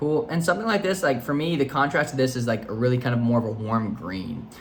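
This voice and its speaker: Speaking very fast, a man delivers his words with lively intonation. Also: medium pitch for a man. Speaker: photo editing youtuber. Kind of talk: tutorial. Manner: casual, hesitant with fillers.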